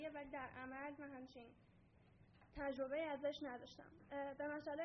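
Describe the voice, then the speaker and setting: A woman with a high-pitched voice talks over noticeable background noise, with audible room echo. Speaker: student presenter. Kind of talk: conference presentation.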